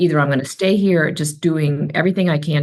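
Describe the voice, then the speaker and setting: A woman talks at a fairly quick pace in a very deep, low pitch. Vocal fry runs through her voice. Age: 60s. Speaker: author and speaker. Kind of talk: podcast interview.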